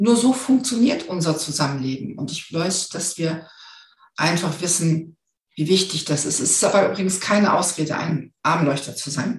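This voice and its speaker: A woman's somewhat breathy, fairly low voice with lively intonation at a moderate pace, in a room with audible echo. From northern Germany. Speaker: finance expert and hypnosis coach. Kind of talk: interview.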